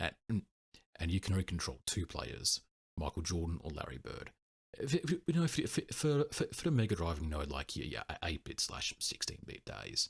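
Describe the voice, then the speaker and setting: A man talks in a British accent. The sound is dry and close with no echo. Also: moderate pace. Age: 20s. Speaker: retro gaming youtuber. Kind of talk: casual monologue. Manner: halting.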